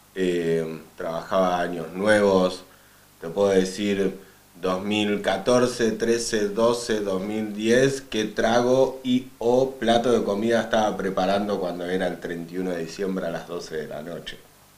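In a room with audible echo, a man speaks at a very slow pace, his fairly low pitch varying in an ordinary way. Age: 30s. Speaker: skateboarder. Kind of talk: casual chat.

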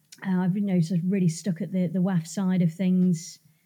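A woman speaks with an English accent. Her voice is somewhat breathy, with a dark, mellow tone. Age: 30s. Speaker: reproduction business co-founder. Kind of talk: casual chat.

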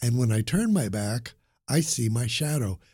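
A man speaks at a moderate pace in a dark, mellow tone. His voice is somewhat breathy, with lively intonation. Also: very clean recording, silent background. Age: 70s. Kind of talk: casual interview chat. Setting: studio.

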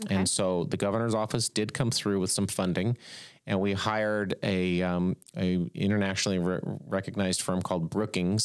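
A man with an American accent speaks at a moderate pace in a very deep, low voice, with very even loudness and fairly even intonation. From California, Bakersfield. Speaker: venture investor. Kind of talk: casual interview.

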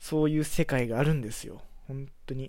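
A man's relaxed, dark and mellow voice at a medium pitch. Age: 20s. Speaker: podcaster. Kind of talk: casual solo monologue. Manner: relaxed, filler-heavy.

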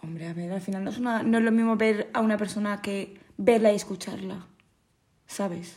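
A woman's medium-pitched, somewhat breathy voice, quiet and at a moderate pace, with fairly even intonation. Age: 20s. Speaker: podcast guest, friend of host. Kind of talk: casual chat. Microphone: far from the mic.

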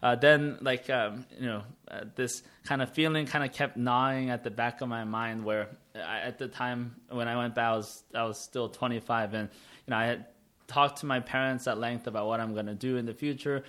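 A man is speaking with an American accent. His tone is bright and sharp. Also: medium pitch for a man, fairly even intonation, moderate pace. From United States. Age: 30s. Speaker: entrepreneur. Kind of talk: interview. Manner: halting, many fillers.

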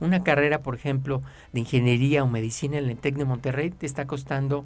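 A man with a Mexican accent speaks at a moderate pace with fairly even intonation. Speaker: personal finance advisor. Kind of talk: radio advice talk.

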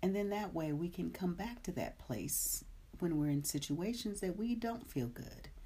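Speaking at a fairly slow pace, a woman uses lively intonation and a somewhat breathy, soothing tone. Her tone is dark and mellow. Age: 50s. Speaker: meditation teacher. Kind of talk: live-streamed guided meditation, gently leading breathwork and body awareness; casual chat greeting live viewers. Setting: live stream. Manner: slow, soothing, soft-spoken meditation guidance; warm, chatty and upbeat.

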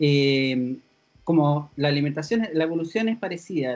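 A man with a Chilean accent talks over music in the background at a moderate pace. His pitch is fairly high and his intonation lively. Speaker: podcast host. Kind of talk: casual chat.

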